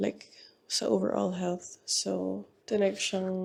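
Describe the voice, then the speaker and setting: A soft-spoken woman. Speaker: vlogger. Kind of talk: casual vlog talk.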